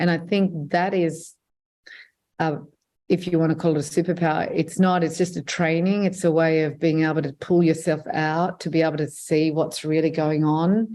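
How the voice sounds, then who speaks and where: A woman speaks with an Australian accent in a monotone, flat intonation. The background is quiet. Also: fairly low pitch for a woman, moderate pace. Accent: non-Lebanese English accent, Australian. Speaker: filmmaker and journalist. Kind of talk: interview. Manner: hesitant, many fillers.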